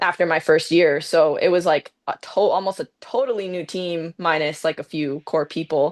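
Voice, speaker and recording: A woman with a plain, everyday voice and a Canadian accent, fairly low in pitch with ordinary pitch variation, at a moderate pace with hardly any pauses, over a quiet background. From Canada, Mississauga near Toronto. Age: 20s. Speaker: professional soccer player. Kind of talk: casual interview chat.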